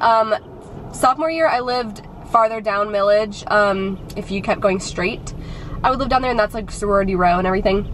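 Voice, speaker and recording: A woman speaks over light background noise. The sound is dry, with no echo. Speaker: student vlogger. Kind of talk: casual vlog chat. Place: car. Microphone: phone near.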